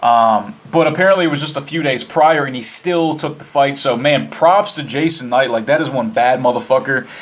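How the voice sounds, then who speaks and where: A man's fairly high voice at a moderate pace, with ordinary pitch variation, hardly any pauses, and noticeable background noise. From Virginia (Winchester). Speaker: podcast host. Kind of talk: casual monologue. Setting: live internet radio.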